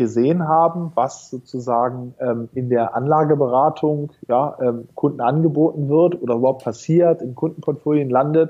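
A man's fairly high voice has a dark, mellow tone and fairly even intonation. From northern Germany, North Sea island. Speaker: fintech founder and CEO. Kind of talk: interview.

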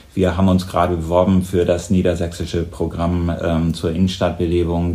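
A man's very deep, low voice stays monotone and flat, with audible room echo around it. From northern Germany, Lower Saxony. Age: 50s. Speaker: mayor and candidate. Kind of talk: interview.

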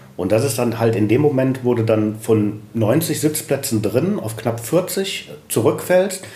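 Lively intonation marks this very slow delivery, heard with audible room echo and noticeable background noise. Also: man, medium pitch for a man. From Düsseldorf, Germany. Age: 50s. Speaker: restaurant owner and chef. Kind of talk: interview.

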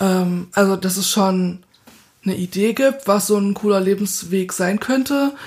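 A woman uses a normal speaking voice at a medium pitch, speaking at a fairly slow pace with ordinary pitch variation. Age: 20s. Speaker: master's student. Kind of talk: casual interview.

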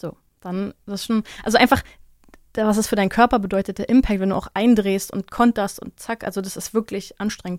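At a fairly quick pace, a woman uses a normal speaking voice at a medium pitch with fairly even intonation, in a very clean recording with a silent background and a dry, close sound with no echo. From Germany. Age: 30s. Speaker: mixed martial arts fighter and podcaster. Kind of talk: casual interview.

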